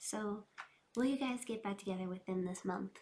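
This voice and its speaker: A woman with an ordinary speaking voice talks at a moderate pace, her medium pitch held in fairly even intonation. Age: 20s. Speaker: tarot reader. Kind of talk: tarot reading.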